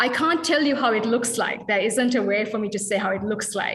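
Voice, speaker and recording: With a bright, sharp tone and high pitch, a woman talks with ordinary pitch variation while room echo is audible. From Sri Lanka. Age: 30s. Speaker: dance artist. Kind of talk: workshop Q&A. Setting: video call.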